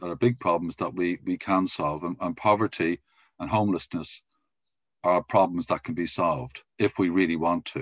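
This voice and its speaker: A man speaks at a moderate pace with a very deep, low pitch and ordinary pitch variation. The background is quiet, and the sound is dry with no echo. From Ireland. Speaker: podcast host; podcast interviewer. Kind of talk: interview. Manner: halting. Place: home room. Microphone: video call.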